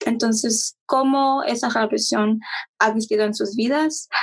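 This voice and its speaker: A woman speaks at a fairly slow pace in a fairly high, somewhat breathy voice. Her pitch varies in an ordinary way, and the sound is dry and close with no echo. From Mexico-born, raised in US. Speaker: podcast co-host. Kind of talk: interview.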